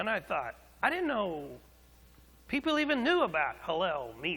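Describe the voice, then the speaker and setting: Projecting a raised voice, a man speaks high and bright with a sharp tone at a moderate pace, his pitch swinging very widely. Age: 60s. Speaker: pastor. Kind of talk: sermon. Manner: animated storytelling.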